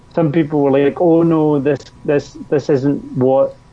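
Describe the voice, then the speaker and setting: Speaking with a Scottish accent, a man's voice sits at a fairly high pitch. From Scotland. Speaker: labour organizer. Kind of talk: casual chat.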